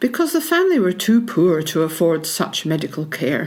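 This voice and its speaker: Speaking fairly quickly with a Scottish accent, a woman uses a fairly low pitch and very wide pitch swings. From Scotland, Peebles (Scottish Borders). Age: 70s. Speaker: local history interviewee. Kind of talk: reminiscence, reading prepared memoir.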